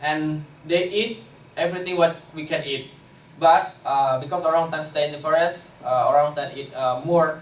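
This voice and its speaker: A man with an Indonesian accent speaks at a moderate pace in a fairly high voice, his intonation fairly even but his loudness swinging widely, with noticeable background noise and audible room echo. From Indonesia, West Kalimantan (Borneo). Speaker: conservation worker. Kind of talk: lecture. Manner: halting, many fillers.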